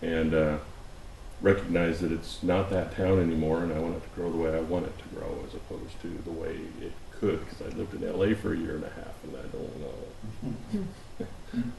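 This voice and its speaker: With an American accent, a man speaks at a moderate pace, his loudness swinging widely, over noticeable background noise and audible room echo. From US Pacific Northwest, Oregon City. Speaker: planning commissioner. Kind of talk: casual introductions at work session. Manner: halting, many fillers.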